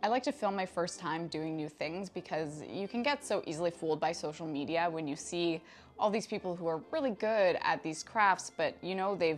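Talking at a moderate pace with hardly any pauses, a woman with a Canadian accent uses a fairly low pitch and ordinary pitch variation over light background noise. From Canada. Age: 30s. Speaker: craft hobbyist YouTuber. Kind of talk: casual talk to camera. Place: home room. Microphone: lapel.

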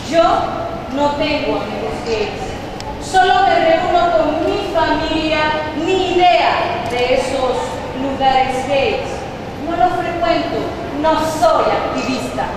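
Amid noticeable background noise and strong room echo, a woman with an extremely high voice speaks at a very slow pace, with ordinary pitch variation and long, frequent pauses. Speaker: presenter. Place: hall. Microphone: camera far.

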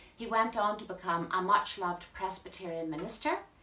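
A woman speaks at a moderate pace. Her voice carries audible room echo. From Northern Ireland. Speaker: poetry presenter. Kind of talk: talk on a poet's life and work. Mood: warm, friendly. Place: home room. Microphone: camera far.

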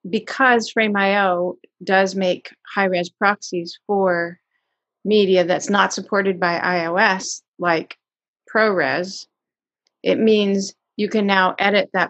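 Against a quiet background, a woman talks at a very slow pace with fairly even intonation. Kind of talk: interview answer. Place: home room. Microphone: video call.

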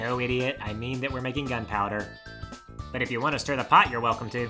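A put-on character voice at a low-to-middle pitch races along at a very fast pace over clear background music. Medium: dub.

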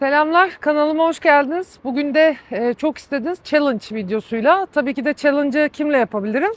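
A woman speaks at high pitch and a fairly quick pace with hardly any pauses. The sound is dry, with no echo. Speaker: vlogger. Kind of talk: casual vlog chat. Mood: cheerful, playful. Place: stadium. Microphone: lapel.

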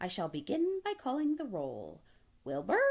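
A woman in a cartoonish character voice speaks at a moderate pace, her medium pitch swinging very widely, with a dark, mellow tone and a slightly husky edge.

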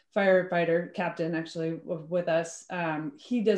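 In a room with audible echo, a woman talks at a moderate pace. Her pitch is fairly low and her intonation fairly even. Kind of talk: meeting presentation. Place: home room. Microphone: video call.

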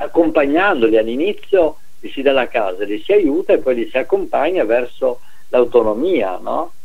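Fairly high in pitch, a man's voice moves through very wide pitch swings. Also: moderate pace. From northern Italy, Veneto (Treviso area); Veneto, Italy. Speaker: retired professor, sociologist; radio talk show guest. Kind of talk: interview. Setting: phone call. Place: home room.

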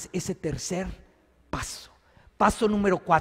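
A man's high-pitched, animated voice at a fairly slow pace, with ordinary pitch variation and a quiet background. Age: 50s. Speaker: priest. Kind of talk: sermon. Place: church. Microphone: podium.

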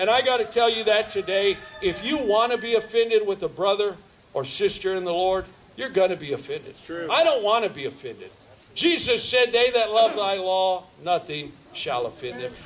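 A man's high-pitched voice with lively intonation at a moderate pace, with light background noise. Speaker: preacher. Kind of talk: sermon. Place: street. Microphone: podium.

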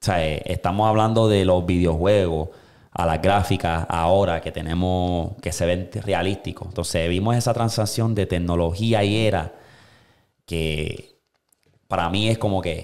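Speaking at a fairly slow pace, a man uses a very deep, low pitch with big swings in loudness. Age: 20s. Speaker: podcast host. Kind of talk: casual chat. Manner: animated. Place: studio. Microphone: studio mic.

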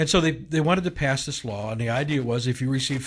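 The voice is somewhat breathy. It moves at a fairly quick pace. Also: man. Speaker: bishop, show co-host. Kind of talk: casual talk radio discussion. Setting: radio studio. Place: studio.

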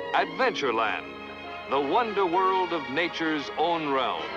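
Clear music plays behind a man speaking at a fairly slow pace. His fairly high voice has lively intonation, and the sound is dry with no echo. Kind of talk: TV show announcer intro. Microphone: old recording.

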